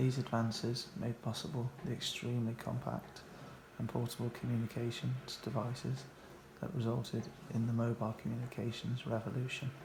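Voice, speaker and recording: Soft-spoken and medium-pitched, a man talks at a fairly quick pace with ordinary pitch variation. Noticeable background noise runs behind him. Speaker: ASMR reader of technical books. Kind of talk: ASMR book reading, relaxing and informative.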